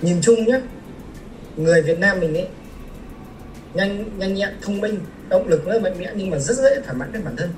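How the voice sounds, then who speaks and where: A man with a high voice talks at a moderate pace, using ordinary pitch variation. Long, frequent pauses break up his speech, and noticeable background noise is present. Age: 20s. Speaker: civil engineer. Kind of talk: casual interview.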